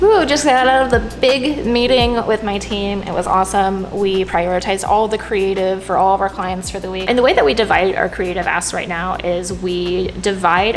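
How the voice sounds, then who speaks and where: Music plays in the background as a woman speaks at a medium pitch with audible room echo. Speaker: director of growth, marketing video creator. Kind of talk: vlog talking to camera; casual chat. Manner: loud; animated.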